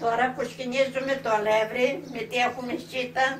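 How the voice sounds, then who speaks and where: A woman's high-pitched voice at a fairly slow pace, with ordinary pitch variation and audible room echo. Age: 90s. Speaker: home cook, grandmother. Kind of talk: cooking tutorial. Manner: halting.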